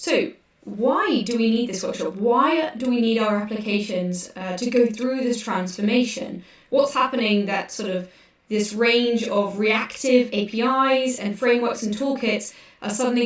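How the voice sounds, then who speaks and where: Amid noticeable background noise and audible room echo, a woman with a British accent and fairly high pitch talks at a moderate pace with ordinary pitch variation. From UK. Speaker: developer advocate. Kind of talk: conference workshop presentation.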